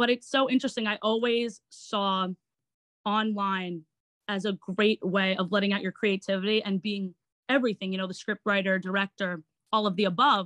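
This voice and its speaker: A woman with a New York accent talks at a moderate pace, her pitch medium and her intonation fairly even. The sound is dry and close, with no echo. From Long Island, New York. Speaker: actor and online entertainer. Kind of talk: interview.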